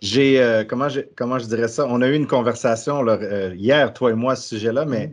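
The man has an unremarkable speaking voice, with medium pitch and ordinary pitch variation, talking at a moderate pace against a quiet background. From Quebec. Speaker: podcast host. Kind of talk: casual interview.

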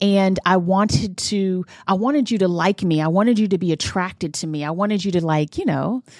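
A woman's medium-pitched, ordinary speaking voice with ordinary pitch variation at a fairly quick pace, on a very clean recording with a silent background. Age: 40s. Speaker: podcast co-host. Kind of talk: casual chat.

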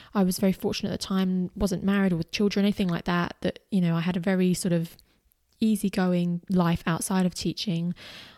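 A woman with an Australian accent speaks at a fairly quick pace in a medium pitch, her dark, mellow tone delivered in a monotone, flat intonation at very even loudness. The recording is very clean with a silent background and a dry, close sound with no echo. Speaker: podcast host and former teacher running online business. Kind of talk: personal monologue.

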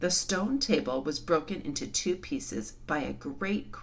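A natural voice reads the text aloud.

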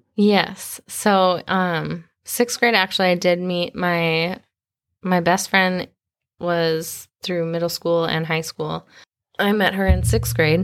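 Speaking very slowly with an American accent, a woman uses a fairly low pitch and ordinary pitch variation on a very clean recording with a silent background. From US Midwest (Minnesota). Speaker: church worship leader. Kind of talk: personal testimony interview. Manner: halting, many fillers.

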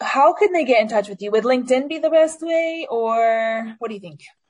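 A woman's voice at a fairly quick pace. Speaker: podcast host. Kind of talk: podcast interview. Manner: energetic.

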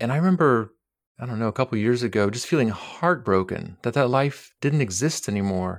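A man speaks in a normal speaking voice at a medium pitch with ordinary variation, captured in a very clean recording with a silent background. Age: 40s. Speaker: clinical psychologist. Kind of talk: casual interview.

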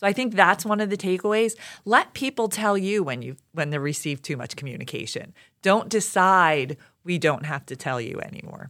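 In a very clean recording with a silent background, a woman with a Philadelphia accent speaks at a moderate pace in a medium pitch, her pitch swinging very widely. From Philadelphia, Pennsylvania. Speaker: education communications director. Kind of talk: interview conversation.

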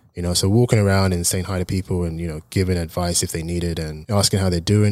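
A man talks at a very fast pace. He has an English accent. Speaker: personal trainer. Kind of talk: casual interview.

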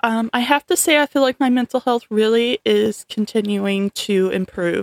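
A woman with a fairly high pitch talks at a fairly slow pace in a dry, close sound with no echo. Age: 30s. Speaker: podcast host and home health nurse. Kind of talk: casual chat.

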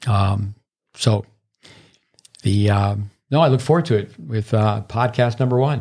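Speaking at a fairly slow pace with long, frequent pauses, a man with an American accent has a medium pitch, ordinary pitch variation, a somewhat breathy quality and very even loudness. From northern New York, near Canadian border. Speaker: tennis coach. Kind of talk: casual chat. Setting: studio.

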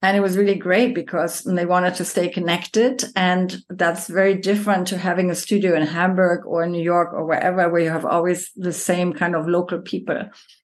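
A woman's ordinary speaking voice, fairly low in pitch, with fairly even intonation, a fairly quick pace and hardly any pauses. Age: 50s. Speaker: yoga teacher. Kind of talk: casual chat.

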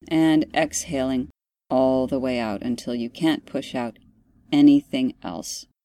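A woman speaks at a fairly slow pace in a calm, soothing tone, her very deep, low voice dark and mellow, with ordinary pitch variation on a very clean recording against a silent background. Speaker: podcast host and meditation guide. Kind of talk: guided meditation. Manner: slow, calm, soothing, deliberately paced breathing instructions; gentle, instructive.

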